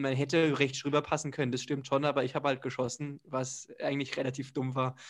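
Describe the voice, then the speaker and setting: A man races through his words at a very fast pace against a quiet background. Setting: video call, unstable internet connection.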